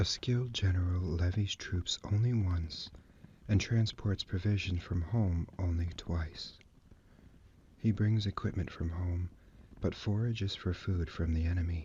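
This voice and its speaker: Soft-spoken and gentle in tone, a man talks at a fairly slow pace in a very deep, low, somewhat breathy voice. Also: fairly even intonation. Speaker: ASMR artist reading as a librarian character. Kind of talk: book reading of an ancient military treatise. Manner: soft-spoken, gentle.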